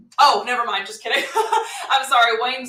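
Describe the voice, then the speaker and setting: A woman with a high-pitched voice talks at a very fast pace in an animated tone, with ordinary pitch variation. Audible room echo and noticeable background noise surround her. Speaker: online seller and live training host. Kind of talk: live webinar training. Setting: live stream from home. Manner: animated, filler-heavy.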